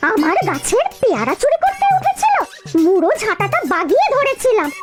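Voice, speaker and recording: Over loud music in the background, a woman in a cartoonish character voice talks at a fairly slow pace, her extremely high pitch making very wide swings at very even loudness. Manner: shrill, complaining.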